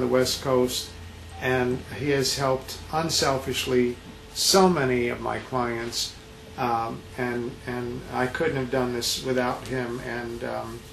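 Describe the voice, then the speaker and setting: The speech moves at a very slow pace, with noticeable background noise and audible room echo. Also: man. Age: 70s. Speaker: DUI defense attorney. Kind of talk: testimonial interview.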